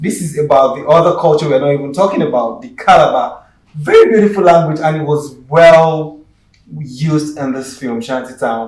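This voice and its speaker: A man with a Yoruba accent at a fairly high pitch, moderate pace, ordinary pitch variation and big swings in loudness. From Nigeria, Yoruba. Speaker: actor and screenwriter. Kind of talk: talk show interview.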